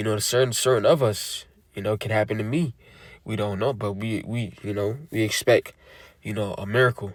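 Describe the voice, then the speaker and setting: At a fairly quick pace, a man speaks with fairly even intonation. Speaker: religious teacher. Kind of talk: sermon. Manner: casual; halting.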